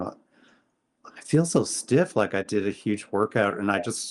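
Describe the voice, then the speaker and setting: A man with a Canadian accent talks at a moderate pace and a fairly low pitch. His is an unremarkable speaking voice. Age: 60s. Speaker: photographer, podcast guest. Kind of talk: casual interview chat.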